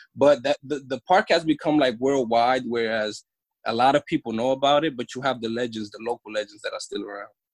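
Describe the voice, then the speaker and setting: A man with a New York accent talks at a fairly quick pace and medium pitch, with ordinary pitch variation. His loudness swings widely, and the sound is dry and close with no echo. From New York City, Washington Heights area. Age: 30s. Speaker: former professional basketball player. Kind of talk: casual interview chat.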